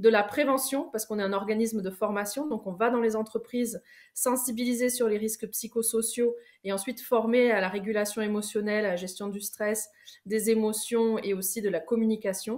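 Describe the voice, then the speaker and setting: A woman with a southwestern French accent speaks at a moderate pace. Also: fairly high pitch for a woman, fairly even intonation. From southwest France. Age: 30s. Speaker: coach and trainer. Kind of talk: online masterclass talk. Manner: hesitant, many fillers.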